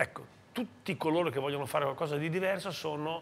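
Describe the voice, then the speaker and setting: The man's pitch varies in an ordinary way as he speaks. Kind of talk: interview answer. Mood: reflective, warm. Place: bar. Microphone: lapel.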